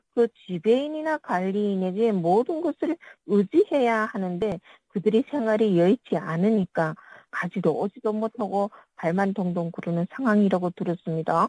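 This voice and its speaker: A woman's medium-pitched voice with a dark, mellow tone, lively intonation and a moderate pace, in a dry, close sound with no echo. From North Korea. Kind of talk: interview.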